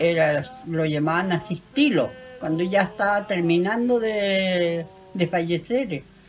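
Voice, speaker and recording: A woman with fairly low pitch speaks at a very slow pace with lively intonation. Music plays in the background. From Chiloé, southern Chile. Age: 80s+. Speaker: elderly local interviewee on traditions. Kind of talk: interview recounting traditions.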